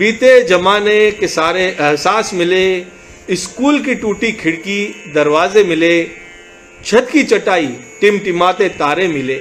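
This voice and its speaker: A man talks in a high pitch with ordinary pitch variation while music plays behind him. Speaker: poet. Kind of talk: poetry reading.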